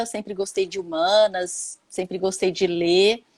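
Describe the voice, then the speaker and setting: With a Minas Gerais accent, a woman speaks at a moderate pace and with fairly even intonation. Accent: mineiro Brazilian Portuguese. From Minas Gerais, Brazil. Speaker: holistic therapist, former economist. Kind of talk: live-stream interview chat.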